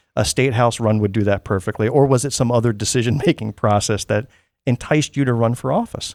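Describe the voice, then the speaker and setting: Over a silent background on a very clean, dry, close recording with no echo, a man of medium pitch talks at a very fast pace with fairly even intonation. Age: 70s. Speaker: podcast host. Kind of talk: interview.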